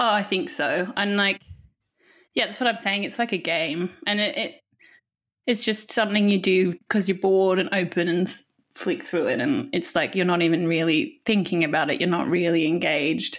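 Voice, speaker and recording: Her voice unremarkable, a woman speaks at medium pitch and a moderate pace with lively intonation on a very clean recording with a silent background. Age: 30s. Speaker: film magazine editor. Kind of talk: casual chat.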